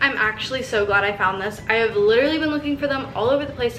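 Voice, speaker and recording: In an American accent, a woman talks at a very fast pace with an animated tone and ordinary pitch variation. Music plays in the background, and there is audible room echo. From US West. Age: 20s. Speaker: vlogger. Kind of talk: casual vlog haul. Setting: at home.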